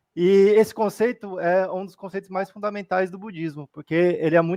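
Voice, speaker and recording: A man speaks at a high pitch with fairly even intonation and a fairly quick pace. The sound is dry and close, with no echo. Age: 30s. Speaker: Buddhist study presenter. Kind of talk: livestream study talk.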